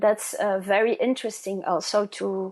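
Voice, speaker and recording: With a Flemish accent, a woman speaks at medium pitch and a moderate pace, her intonation fairly even. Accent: Flemish Dutch-accented English. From Flanders, Belgium. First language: Dutch. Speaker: genealogist. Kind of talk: interview. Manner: halting.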